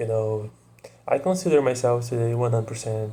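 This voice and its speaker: A man with a Portuguese accent speaks at medium pitch in a dark, mellow, somewhat breathy tone. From Brazil. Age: 20s. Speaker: vlogger. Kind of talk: casual monologue to camera. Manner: hesitant, many fillers.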